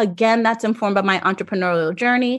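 An ordinary speaking voice from a woman, medium in pitch with ordinary pitch variation, at a fairly quick pace against a quiet background. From Jamaica, raised in South Florida. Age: 40s. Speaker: fashion anthropologist and professor. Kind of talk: interview.

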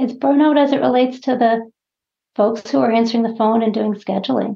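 A woman with an American accent, fairly high pitch, ordinary pitch variation and a plain, everyday voice. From Massachusetts (Winchester). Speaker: health insurer strategy executive. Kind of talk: interview.

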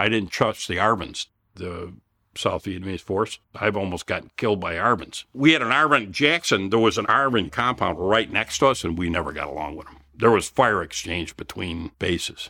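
Bright and sharp in tone, a man with a Chicago accent talks at a moderate pace in a fairly low voice, his intonation lively and his loudness swinging widely. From Chicago area, Illinois. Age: 60s. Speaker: Vietnam War veteran. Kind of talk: interview.

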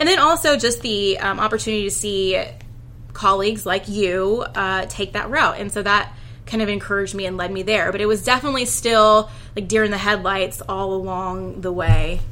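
Here a woman talks in an ordinary speaking voice at medium pitch. Her pace is moderate and her pitch varies in an ordinary way. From Houston, Texas. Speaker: lawyer. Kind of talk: interview.

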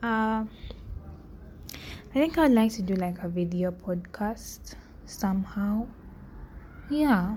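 A woman's somewhat breathy, dark and mellow voice of medium pitch, very slow, with ordinary pitch variation. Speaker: podcast host. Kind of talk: casual monologue. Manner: halting.

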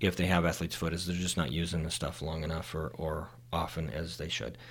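With an American accent, a man speaks at a fairly quick pace in a very deep, low pitch marked by vocal fry. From Utah, Salt Lake City. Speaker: podiatrist. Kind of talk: casual chat. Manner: hesitant, many fillers.

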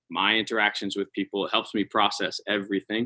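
With an American accent, a man speaks in a bright, sharp tone at a fairly low pitch, the sound dry and close with no echo. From US West Coast, San Francisco Bay Area. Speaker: professional dancer and choreographer. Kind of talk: casual interview. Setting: video call.

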